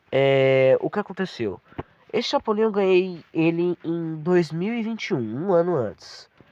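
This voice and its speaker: A high-pitched man at a fairly slow pace, with lively intonation. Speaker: YouTuber reacting to his own old video. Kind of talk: video reaction commentary.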